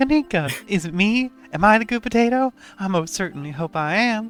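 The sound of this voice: With faint music in the background, a put-on character voice in a Southern US accent talks at a fairly quick pace with a fairly high pitch. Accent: Southern Belle.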